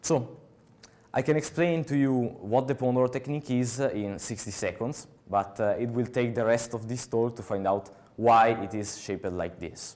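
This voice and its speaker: Male voice at medium pitch with a strong Italian accent, moderate pace and ordinary pitch variation. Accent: Italian, fairly strong. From Italy. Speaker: software developer, conference speaker. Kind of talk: conference talk. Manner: halting, many filler sounds.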